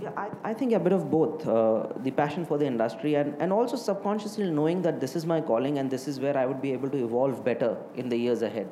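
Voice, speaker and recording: A man with an Indian accent and a fairly high pitch talks at a very fast pace with hardly any pauses and lively intonation. Audible room echo and noticeable background noise surround him. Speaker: hotelier. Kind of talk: interview. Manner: halting, many fillers.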